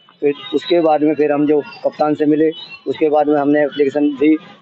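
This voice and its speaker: Against noticeable background noise, a man talks at a moderate pace in a fairly high pitch. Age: 60s. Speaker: complainant father. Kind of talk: testimony. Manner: halting.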